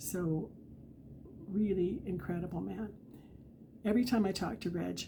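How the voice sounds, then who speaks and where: In a Western Canadian accent, a woman speaks at a moderate pace and a medium pitch with ordinary pitch variation, a dark, mellow tone and vocal fry, leaving long, frequent pauses amid audible room echo. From Canadian Prairies, Alberta. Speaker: author. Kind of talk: casual talk to camera. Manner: halting.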